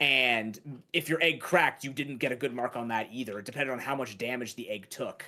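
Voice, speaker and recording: Hardly any pauses break up this fairly quick delivery. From Canada. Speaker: charity livestream gamer. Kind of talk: casual chat.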